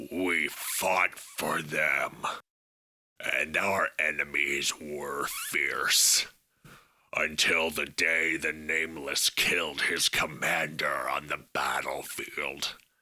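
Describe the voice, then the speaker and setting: Putting on a character voice, a man speaks at a very slow pace in a raspy, very deep, low pitch. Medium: audio drama. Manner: grandiose, speaks of himself as "we" and "this one".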